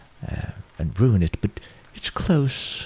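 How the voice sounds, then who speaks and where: Noticeable background noise runs under the recording. A man speaks with very wide pitch swings. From Sweden. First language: Swedish. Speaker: home cook presenting cooking videos. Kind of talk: casual commentary over old cooking footage. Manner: hesitant, many fillers and restarts.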